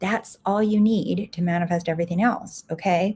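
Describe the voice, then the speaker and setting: A woman at a medium pitch talks at a moderate pace in a dark, mellow tone that is somewhat breathy. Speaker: life coach and podcast host. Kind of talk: live stream talk. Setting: livestream, home recording. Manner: soft-spoken.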